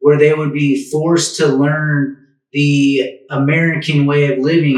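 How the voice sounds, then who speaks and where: A somewhat breathy man with a fairly high pitch. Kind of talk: interview questions.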